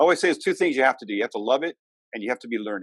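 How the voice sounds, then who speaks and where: A man is speaking here. The sound is dry and close, with no echo. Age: 60s. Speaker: cruise ship hotel director. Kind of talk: podcast interview. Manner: relaxed, conversational.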